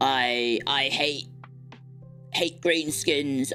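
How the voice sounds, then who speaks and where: A put-on character voice at a low-to-middle pitch plays over clear music in the background. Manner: mocking, silly.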